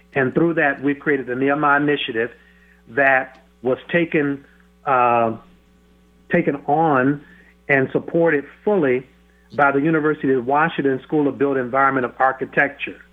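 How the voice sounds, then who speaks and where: Speaking at a moderate pace with long, frequent pauses, a man uses a fairly high pitch and fairly even intonation. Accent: American. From US South, Florida. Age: 50s. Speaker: pastor. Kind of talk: radio interview. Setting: phone call.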